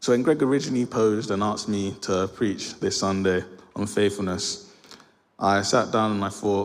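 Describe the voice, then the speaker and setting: A man with a London accent speaks at a fairly low pitch with fairly even intonation. There is audible echo from the room. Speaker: lay preacher. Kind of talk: sermon. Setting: church. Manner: fast; mumbling.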